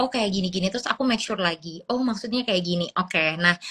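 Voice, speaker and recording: Ordinary pitch variation in a bright, sharp tone. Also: woman. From Papua, Indonesia. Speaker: graduate student abroad. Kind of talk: interview. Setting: Instagram live stream.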